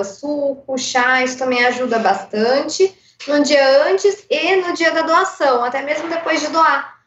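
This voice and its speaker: At a fairly slow pace, a woman talks with a high pitch and lively intonation. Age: 30s. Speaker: blood bank donor relations worker. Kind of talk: radio interview.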